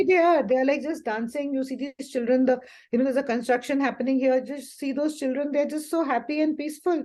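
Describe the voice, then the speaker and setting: Against a quiet background, a woman talks at a very fast pace in a high voice. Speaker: spiritual guide and life coach. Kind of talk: spiritual group talk. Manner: animated.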